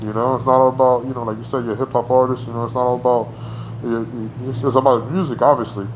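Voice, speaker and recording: A very fast, monotone, flat delivery in an American accent over noticeable background noise. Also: man, medium pitch for a man. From New Jersey (Paterson). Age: 40s. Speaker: artist. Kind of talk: interview. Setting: in person. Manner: halting, many fillers.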